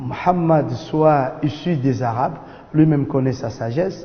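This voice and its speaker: Speaking very slowly with a non-native accent, a man uses a fairly high pitch amid audible room echo. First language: not French (speaking French). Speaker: imam. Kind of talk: religious lecture. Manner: halting, many hesitations.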